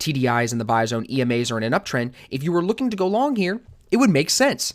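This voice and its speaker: A man speaks at a fairly quick pace in a fairly high pitch. The recording is very clean, with a silent background. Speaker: forex trading teacher. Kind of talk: tutorial. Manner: fast.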